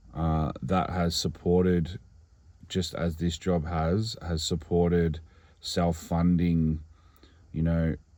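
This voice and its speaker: In a very clean recording with a silent background, a man with an Australian accent speaks very slowly with long, frequent pauses, a very deep, low pitch, a dark, mellow tone, flat monotone intonation and very even loudness. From Australia, regional Victoria. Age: 30s. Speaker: singer-songwriter. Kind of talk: personal vlog monologue. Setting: in a car. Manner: hesitant, with many fillers.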